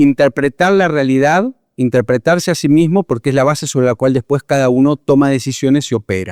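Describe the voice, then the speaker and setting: With an Argentine accent, a man speaks at a moderate pace and fairly high pitch, with ordinary pitch variation and a dry, close sound with no echo. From Argentina. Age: 50s. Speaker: psychologist and leadership consultant. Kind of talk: interview.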